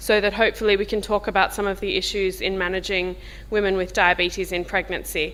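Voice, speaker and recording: A woman with a strong Australian accent at a fairly quick pace. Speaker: diabetes professor. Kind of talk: workshop discussion. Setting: workshop with audience, filmed. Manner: informal.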